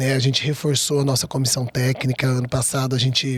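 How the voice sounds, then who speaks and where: A man's monotone, flat intonation, recorded with a dry, close sound and no echo. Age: young. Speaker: volleyball coach. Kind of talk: interview. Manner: fast.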